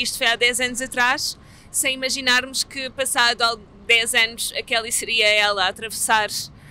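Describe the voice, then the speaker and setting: A woman speaks at a moderate pace with a European Portuguese accent and a high pitch. Her tone is bright and sharp, the sound is dry with no echo, and there is light background noise. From Portugal. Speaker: theatre artist; theatre project co-creator. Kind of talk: interview. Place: street.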